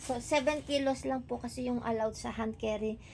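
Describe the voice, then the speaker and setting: The woman's voice sits high in pitch. She talks at a fairly slow pace. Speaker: vlogger. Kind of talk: casual vlog.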